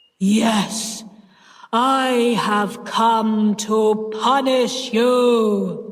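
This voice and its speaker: A put-on character voice sits at a fairly high pitch. It moves very slowly with monotone, flat intonation. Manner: terrible, frightening.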